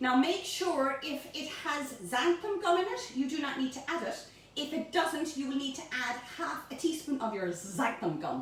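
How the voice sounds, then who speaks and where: With a Cork accent, a woman speaks at a fairly slow pace amid noticeable background noise and audible room echo. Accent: Irish, Cork. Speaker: home baking presenter. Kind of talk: cooking tutorial. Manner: animated; high-pitched.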